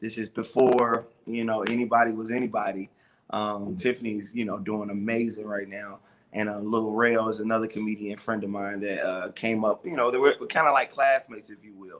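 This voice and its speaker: In a normal speaking voice with an American accent, someone talks at a fairly quick pace with fairly even intonation. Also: man, medium pitch for a man, big swings in loudness. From Chicago. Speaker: stand-up comedian. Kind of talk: interview answer.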